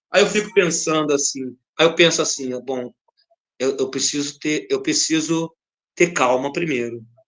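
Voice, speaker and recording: This man's voice sits at a fairly high pitch. He moves at a moderate pace with ordinary pitch variation. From Brazil, Rio de Janeiro (Madureira). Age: 50s. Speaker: dancer and samba dance teacher. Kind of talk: interview conversation. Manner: animated.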